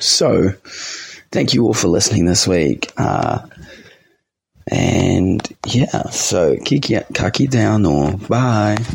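With a New Zealand accent, a man speaks at a very slow pace with long, frequent pauses. His voice sits fairly low in pitch, with lively intonation and very even loudness. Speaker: youth radio host. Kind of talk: radio show monologue.

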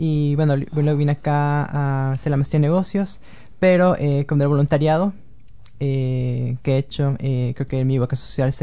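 A man speaks at a fairly slow pace, somewhat breathy and fairly high in pitch. His tone is dark and mellow, with fairly even intonation. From Venezuela (Caracas) to age 11, then Quito, Ecuador. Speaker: student recruitment consultant and blogger. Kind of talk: interview.

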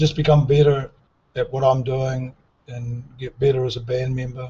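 Somewhat breathy male voice at a medium pitch and moderate pace, intonation monotone and flat. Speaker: musician. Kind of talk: interview. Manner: halting.

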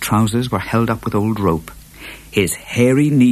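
Someone reads in an unforced voice.

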